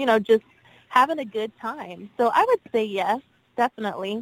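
In an ordinary speaking voice, a woman with an American accent talks at a fairly high pitch with ordinary pitch variation, in a dry, close sound with no echo. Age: 20s. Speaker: singer. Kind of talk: radio interview.

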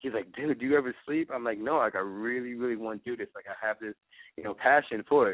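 A man talks with an American accent at a very fast pace. His voice sits at a medium pitch. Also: ordinary pitch variation. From New York. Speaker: eyewear designer and business owner. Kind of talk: interview. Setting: phone call.

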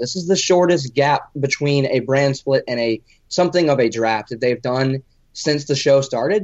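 A man with a normal speaking voice talks at a moderate pace, his fairly high pitch rising and falling in a lively way. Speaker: wrestling podcast co-host. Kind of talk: casual chat.

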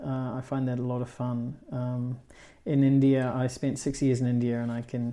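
Here is a man with a New Zealand accent and a dark, mellow tone. His pitch is medium and his pace fairly slow. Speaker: cinematographer. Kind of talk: interview. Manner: hesitant, many fillers.

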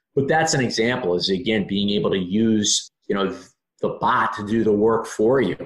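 A man with a plain, everyday voice and an American accent talks at a moderate pace and medium pitch, with ordinary pitch variation. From Maryland. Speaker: sports team marketing executive. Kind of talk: podcast interview.

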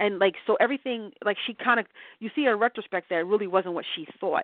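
With an American accent, a woman talks at a very fast pace with ordinary pitch variation. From New Jersey, US. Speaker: author. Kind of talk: radio interview. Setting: internet radio show.

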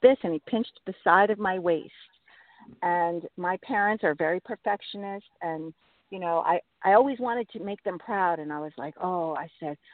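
An ordinary speaking voice from a woman at a fairly low pitch, moderate pace, ordinary pitch variation and big swings in loudness. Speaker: addiction recovery storyteller and fitness business owner. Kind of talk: personal story interview. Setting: phone call from her car.

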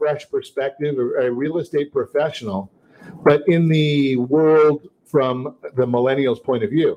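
A man with an American accent, fairly high in pitch, at a very slow pace. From Southern California. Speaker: radio host and mortgage lender. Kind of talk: talk radio show. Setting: studio. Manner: upbeat, salesy, repeats phone number.

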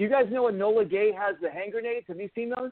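A high-pitched man with an American accent at a very fast pace. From Los Angeles. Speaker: paintball player. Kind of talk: casual chat. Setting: phone call. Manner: animated.

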